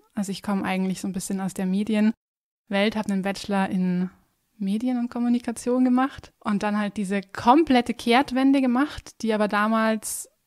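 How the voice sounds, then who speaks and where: A woman's unremarkable speaking voice, fairly high-pitched, with ordinary pitch variation at a moderate pace. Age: 20s. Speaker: dentist. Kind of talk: casual chat.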